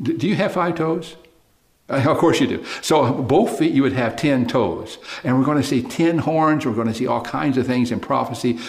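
In an Oklahoma accent, a man speaks with lively intonation amid noticeable background noise and audible room echo. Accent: Oklahoma American. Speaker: preacher. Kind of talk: sermon. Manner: animated.

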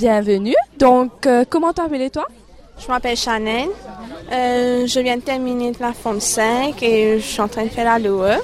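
A woman with a high pitch speaks at a fairly slow pace, using ordinary pitch variation. Her loudness swings widely, and noticeable background noise is present. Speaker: radio presenter of an education programme. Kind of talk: radio interview.

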